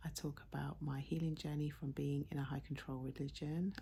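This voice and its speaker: A woman speaks in an English accent at a moderate pace. She is soft-spoken. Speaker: YouTuber. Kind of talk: casual vlog chat. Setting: at home at night.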